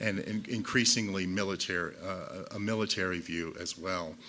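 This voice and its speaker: A man speaks with a bright, sharp tone at a fairly low pitch. His intonation stays fairly even. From United States. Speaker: visual artist. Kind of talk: symposium talk. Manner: fast; halting with fillers.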